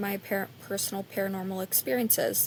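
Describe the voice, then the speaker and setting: A woman at a medium pitch and fairly quick pace, in an American accent. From North Carolina. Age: 30s. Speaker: podcast host. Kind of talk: casual personal storytelling. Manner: hesitant, many fillers.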